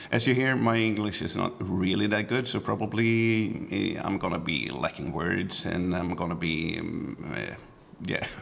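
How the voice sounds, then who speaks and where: This man's fairly low voice carries lively intonation and a Swedish accent. He talks at a moderate pace with audible room echo. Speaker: photographer and vlogger. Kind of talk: casual vlog. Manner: halting, searching for words.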